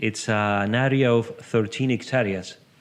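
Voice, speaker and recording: A man speaks at a very slow pace with an Uruguayan accent. His pitch is medium, with ordinary variation. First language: Spanish. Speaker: horse-assisted coach. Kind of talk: interview. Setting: podcast recording. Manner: halting.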